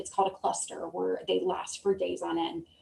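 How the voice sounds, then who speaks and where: A woman talks with a slight Southern US accent. Noticeable background noise is present. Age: 30s. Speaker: Air Force veteran. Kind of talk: interview. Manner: halting, many fillers.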